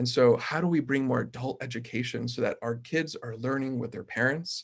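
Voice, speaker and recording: A man with a Spanish accent talks at a fairly quick pace in a somewhat breathy voice. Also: medium pitch for a man, fairly even intonation. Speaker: mayoral candidate. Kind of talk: panel forum answer. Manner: halting.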